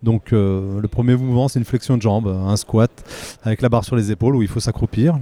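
A man talks at a fairly quick pace with a medium pitch and fairly even intonation. The sound is dry and close, with no echo. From Vosges, eastern France. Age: 30s. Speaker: non-destructive testing technician and powerlifter. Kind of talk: trade-show interview. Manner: hesitant, with fillers.

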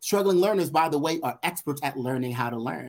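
With very wide pitch swings, a man talks in an American accent. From Brooklyn, New York. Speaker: education consultant and author. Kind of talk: interview.

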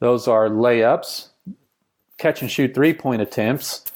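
Speaking with a Texan accent, a man keeps a fairly slow pace and a medium pitch with ordinary pitch variation. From rural Texas. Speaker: basketball coach and business founder. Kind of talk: casual interview conversation.

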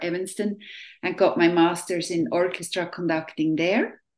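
Her voice fairly low, a woman talks with a non-native accent. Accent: non-Southern, foreign. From Switzerland. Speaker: orchestra conductor. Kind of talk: interview.

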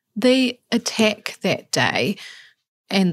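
On a very clean recording with a silent background, a woman in a New Zealand accent speaks at a fairly slow pace with ordinary pitch variation. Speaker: podcast host. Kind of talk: interview; scripted narration.

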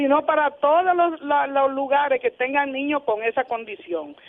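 Her pitch is high. The woman speaks at a moderate pace. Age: 70s. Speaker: community volunteer. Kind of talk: casual chat.

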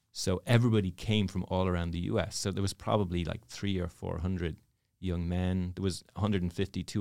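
A man speaks with an Irish accent at a very deep, low pitch. His intonation stays fairly even, and the recording is very clean with a silent background. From Ireland, Dublin. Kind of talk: interview storytelling. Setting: studio.

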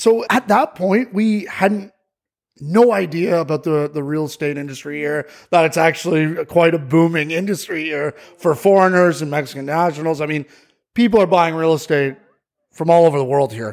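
A man's normal speaking voice with a Canadian accent, ordinary pitch variation and a moderate pace. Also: fairly high pitch for a man. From Ontario, Canada. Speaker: real estate agent. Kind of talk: interview.

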